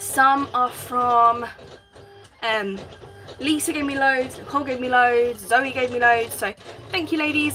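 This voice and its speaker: A woman with a high pitch uses a raised, projected voice. She goes at a fairly slow pace against noticeable background noise. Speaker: craft livestreamer. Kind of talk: live craft stream chat.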